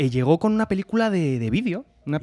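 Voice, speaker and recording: A man's very fast, animated delivery with lively intonation. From Spain. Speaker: podcast co-host. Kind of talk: casual chat. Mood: animated, humorous. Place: studio. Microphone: studio mic.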